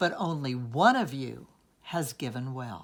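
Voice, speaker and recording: A put-on character voice moves at a fairly slow pace with ordinary pitch variation. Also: man. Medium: read story.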